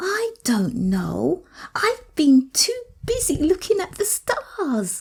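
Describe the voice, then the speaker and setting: A woman uses a put-on character voice at an extremely high pitch, speaking at a very slow pace. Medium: read story. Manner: excitable.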